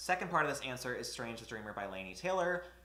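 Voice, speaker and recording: Amid audible room echo, a man speaks at a very fast pace with very wide pitch swings. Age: 20s. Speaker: booktuber. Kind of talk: casual vlog talk to camera.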